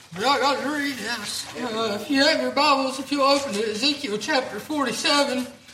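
Moderate pace over noticeable background noise. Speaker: church announcer and pastor. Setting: church.

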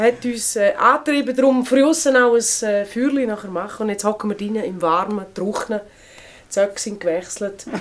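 The speaker has a Swiss accent and ordinary pitch variation at a moderate pace. Noticeable background noise runs underneath. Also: woman, fairly high pitch for a woman. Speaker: podcast host. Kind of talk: casual chat. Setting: indoors in a remote cabin by the fire.

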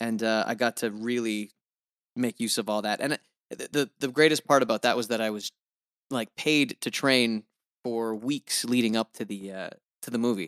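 At a moderate pace, a man with an American accent and a medium pitch speaks with fairly even intonation and long, frequent pauses, in a dry, close sound with no echo. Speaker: voice actor. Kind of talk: interview. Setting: video call.

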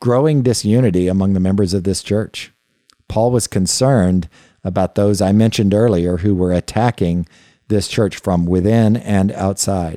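In a very clean recording with a silent background, a man speaks at a moderate pace with very even loudness. His fairly low voice has a dark, mellow tone and ordinary pitch variation, with a dry, close sound and no echo. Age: old. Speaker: podcast host and Bible teacher. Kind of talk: Bible teaching lecture. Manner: halting, many fillers and repetitions.

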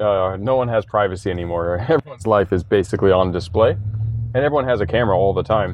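A man's fairly low voice at a very fast pace with hardly any pauses, ordinary pitch variation, and noticeable background noise. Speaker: entrepreneur. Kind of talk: casual interview. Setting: in a shop.

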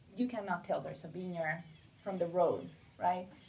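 A woman speaks with a Mexican accent, her fairly low pitch moving in a fairly even intonation. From Mexico. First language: Spanish. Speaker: winery co-owner. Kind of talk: casual chat.

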